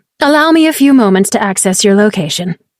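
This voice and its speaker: Using a put-on character voice, a woman speaks at a very fast pace and a medium pitch. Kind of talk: archaic formal speech. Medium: read story. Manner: smooth, calm, formal.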